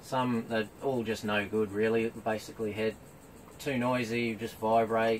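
A man mumbles at a moderate pace in a flat monotone, with light background noise. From New Zealand. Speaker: travel vlogger. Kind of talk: product review. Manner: mumbling; casual, hesitant with ums. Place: tent. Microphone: camera far.

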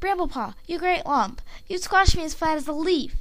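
A put-on character voice carries the clip. It moves along at a fairly quick pace. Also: woman, extremely high pitch for a woman.

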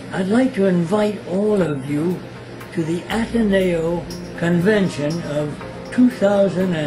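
A man's voice with ordinary pitch variation over noticeable background noise. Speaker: Jesuit priest. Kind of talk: invitation message to alumni. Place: home room.

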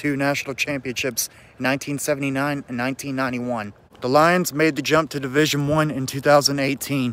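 A man speaks at a fairly slow pace in a monotone, flat way. The sound is dry with no echo. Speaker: sports vlogger. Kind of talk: casual vlog chat. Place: street. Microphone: phone near.

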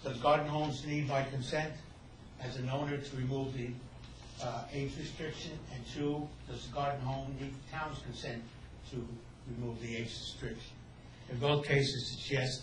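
In a room with audible echo and light background noise, a man talks at a moderate pace in a monotone, flat delivery. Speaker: resident addressing council. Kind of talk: public comment. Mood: complaining, earnest. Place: meeting room. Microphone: podium.

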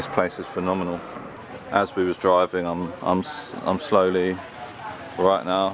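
A man speaks in a very deep, low voice with a monotone, flat intonation at a moderate pace, with long, frequent pauses. The sound is dry with no echo, and there is noticeable background noise. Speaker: travel vlogger. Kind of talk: casual vlog talk to camera. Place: open country. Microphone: phone near.

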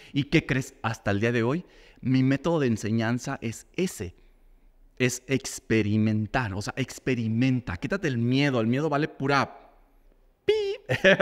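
A man delivers his words at a fairly slow pace, with ordinary pitch variation, over a quiet background. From Guadalajara, Mexico. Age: 40s. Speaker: makeup artist and teacher; teacher. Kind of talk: casual chat. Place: studio. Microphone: studio mic.

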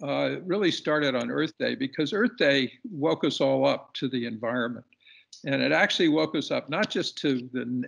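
A man talks at a moderate pace. Nothing else is heard in the quiet background. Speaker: podcast guest. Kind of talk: interview answer presenting slides. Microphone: video call.

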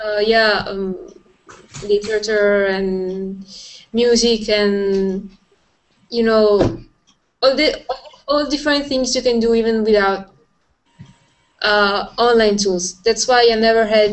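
With an Italian accent, the speaker talks at a very slow pace with fairly even intonation and long, frequent pauses. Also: woman, fairly high pitch for a woman. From Italy. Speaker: design student. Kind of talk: casual chat. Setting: video call. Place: home room. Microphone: video call.

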